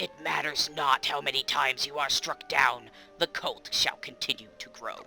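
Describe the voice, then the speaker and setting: The speaker uses a put-on character voice with a low-to-middle pitch. The pace is moderate, with clear music in the background. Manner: ominous, commanding.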